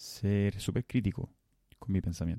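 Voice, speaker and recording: A man speaks very slowly in a very deep, low voice with a dark, mellow tone and fairly even intonation, the sound dry and close with no echo. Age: 30s. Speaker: podcast host. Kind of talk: solo monologue. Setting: home recording. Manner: halting.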